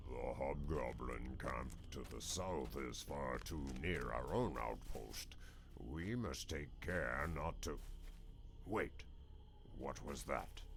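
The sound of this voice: Against clear background noise, a man puts on a guttural character voice and speaks at a very slow pace.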